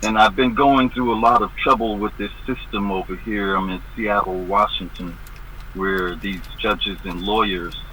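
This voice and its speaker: Through noticeable background noise, a man talks at a moderate pace with fairly even intonation. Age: 70s. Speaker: activist guest. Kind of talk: interview.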